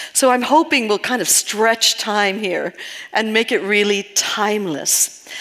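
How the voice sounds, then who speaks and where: A woman with a New York accent and a fairly high pitch, ordinary pitch variation, a fairly slow pace and noticeable background noise. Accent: New York American. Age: 60s. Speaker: spiritual healing teacher. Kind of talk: talk to live audience. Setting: stage with audience.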